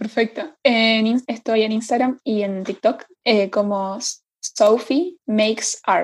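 A woman speaks at a very slow pace, somewhat breathy, with a fairly high pitch and ordinary pitch variation. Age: 20s. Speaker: hotel sales worker. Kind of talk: podcast interview. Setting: video call.

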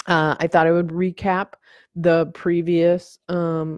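A woman talks with a fairly low pitch. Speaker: podcast host. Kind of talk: casual solo vlog monologue. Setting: recorded on video, home setting. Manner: rambling with fillers and self-corrections.

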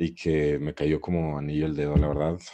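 A man's dark, mellow tone. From Guadalajara, Jalisco, Mexico. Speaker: podcast guest. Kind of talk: casual chat.

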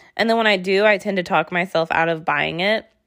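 A woman's very fast speech with vocal fry. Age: 20s. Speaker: podcast host. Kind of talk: casual monologue. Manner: animated.

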